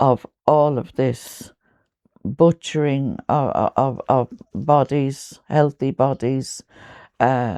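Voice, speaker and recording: A woman's very deep, low voice with a dark, mellow tone and an Irish accent, at a very slow pace with long, frequent pauses, in a dry, close sound with no echo. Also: ordinary pitch variation. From Ireland. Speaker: poet. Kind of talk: interview answer.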